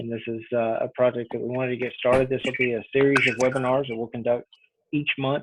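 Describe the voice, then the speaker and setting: In a Texas accent, someone talks at a fairly quick pace with monotone, flat intonation. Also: man. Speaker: association webinar host. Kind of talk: webinar introduction. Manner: halting, many fillers.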